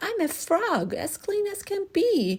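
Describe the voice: In a put-on character voice, a woman squeaks at an extremely high pitch and a fairly slow pace.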